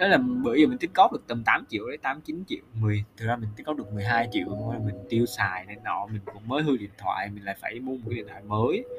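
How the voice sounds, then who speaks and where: A man at medium pitch, very fast with hardly any pauses, lively intonation and big swings in loudness, over noticeable background noise. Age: 20s. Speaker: solo podcaster, recent intern. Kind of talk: casual personal monologue.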